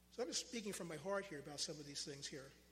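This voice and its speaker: A man's high voice at a very fast pace, with ordinary pitch variation and audible room echo. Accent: American. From Pennsylvania, Philadelphia area. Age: 60s. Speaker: lay preacher. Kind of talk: sermon. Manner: halting.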